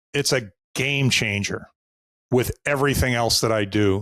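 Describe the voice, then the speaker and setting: Recorded very cleanly against a silent background, a man with a Boston accent has a bright, sharp tone at medium pitch with ordinary variation, the sound dry and close with no echo. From US Northeast, Boston. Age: 60s. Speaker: sales coach. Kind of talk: podcast interview.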